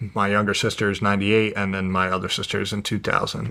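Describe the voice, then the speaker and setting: A man speaks with a New Jersey accent at a fairly low pitch. His intonation is fairly even. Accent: New Jersey American. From New Jersey, US. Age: 20s. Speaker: professional mixed martial artist. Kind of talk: interview, personal life story. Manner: casual, hesitant with fillers.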